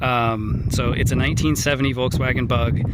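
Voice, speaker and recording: Noticeable background noise and audible room echo surround a man speaking at a medium pitch with an American accent. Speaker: vlogger selling his car. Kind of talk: walkaround video. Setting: outdoors. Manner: loud; casual, halting with fillers.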